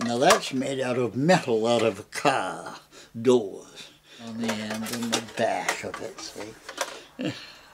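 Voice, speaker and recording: Over noticeable background noise, a man speaks at a very slow pace and medium pitch, with ordinary pitch variation and big swings in loudness. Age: 90s. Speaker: cabinet maker. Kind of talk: documentary interview answer.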